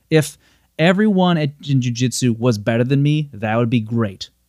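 This is a plain, everyday voice from a man at medium pitch and moderate pace. His intonation is lively, and the recording is very clean over a silent background. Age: 30s. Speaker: jiu-jitsu practitioner. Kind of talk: casual chat.

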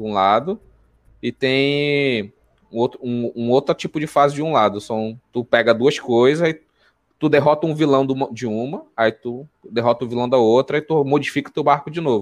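At a moderate pace, a man speaks with a medium-pitched voice. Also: ordinary pitch variation. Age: 20s. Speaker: podcast host about anime. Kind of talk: casual chat. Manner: animated.

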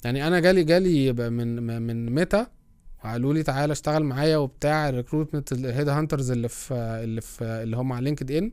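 A man talks at a fairly quick pace, captured on a very clean recording with a silent background. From Egypt. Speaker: product strategy and design podcaster. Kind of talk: casual solo talk. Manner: halting, many fillers.

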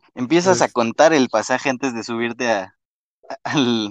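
At a moderate pace, a man of medium pitch speaks with a Mexico City accent and ordinary pitch variation, the sound dry and close with no echo against a quiet background. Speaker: podcast host. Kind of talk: casual chat.

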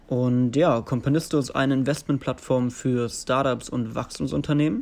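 On a very clean recording with a silent background, a man with a plain, everyday voice speaks at a fairly slow pace and medium pitch, with fairly even intonation. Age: 20s. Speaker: investment analyst. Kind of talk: recorded interview answers.

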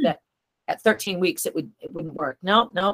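A woman with an American accent, fairly quick pace and very wide pitch swings, in a dry, close sound with no echo. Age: 50s. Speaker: author and brain tumor survivor. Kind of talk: interview.

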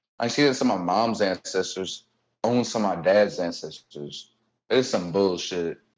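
A man with an American accent, a normal speaking voice, a fairly low pitch with ordinary pitch variation, at a moderate pace. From Cincinnati, Ohio. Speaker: stand-up comedian and construction worker. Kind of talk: casual interview chat.

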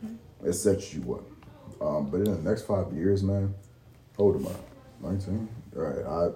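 The delivery moves at a fairly slow pace with ordinary pitch variation. Noticeable background noise sits behind it. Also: man, fairly low pitch for a man. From Baltimore. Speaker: Marine Corps veteran and aspiring podcaster. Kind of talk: casual chat. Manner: calm.

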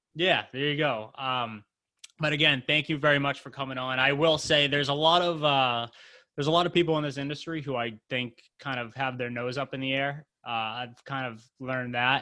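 Bright and sharp in tone, a man with an American accent and a fairly high pitch speaks at a moderate pace with fairly even intonation and big swings in loudness. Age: 20s. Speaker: podcast host. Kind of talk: casual interview.

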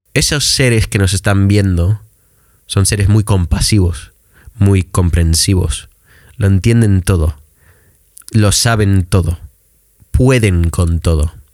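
A man's fairly low voice at a very slow pace, with long, frequent pauses, ordinary pitch variation and very even loudness. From Michigan, US. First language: English (speaking Spanish). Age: 20s. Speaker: English teacher. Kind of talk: casual chat.

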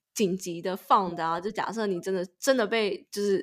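With fairly even intonation and a medium pitch, a woman with an unremarkable speaking voice talks at a fairly slow pace. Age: 20s. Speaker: podcast co-host, master's graduate. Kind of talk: casual chat.

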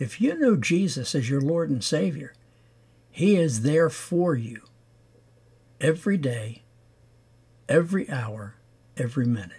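A man with a fairly high pitch and a dark, mellow tone sounds somewhat breathy, and his pitch swings very widely. He speaks at a fairly slow pace with long, frequent pauses. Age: 70s. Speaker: faith podcast host and lay preacher. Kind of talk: devotional sermon.

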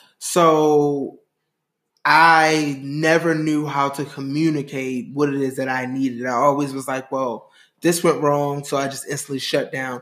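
This man has a plain, everyday voice pitched fairly high. He speaks at a fairly slow pace with fairly even intonation. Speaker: guest. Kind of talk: casual chat. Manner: playful.

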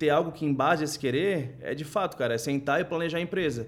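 A normal speaking voice from a man, pitched fairly high, its pitch varying in an ordinary way. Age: 20s. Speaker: finance executive. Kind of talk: casual chat.

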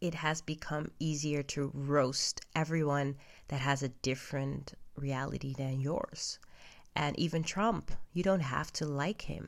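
A woman speaks at a fairly slow pace with a non-native accent and fairly even intonation. Her pitch is very deep and low, and the recording is very clean with a silent background. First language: not English. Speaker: podcaster. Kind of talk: personal monologue. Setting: at home in bed. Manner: halting.

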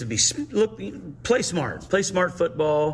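The speaker has a plain, everyday voice. The intonation is lively. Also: man. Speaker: high school football coach. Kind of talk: coach interview.

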